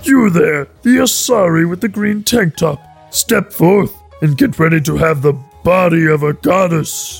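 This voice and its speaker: A put-on character voice at a middle pitch moves at a moderate pace over faint background music. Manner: exaggerated, pitchy.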